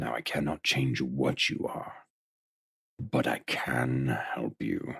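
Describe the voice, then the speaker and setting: A man puts on a character voice. It is very deep and low, delivered at a very slow pace. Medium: audio drama. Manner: measured, dignified, gently wise.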